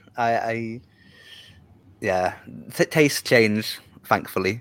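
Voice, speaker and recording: A man speaks at a very slow pace with a northern English accent. His pitch sits in the medium range. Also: long, frequent pauses. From northern England. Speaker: Eurovision journalist. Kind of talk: casual interview chat. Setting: video call.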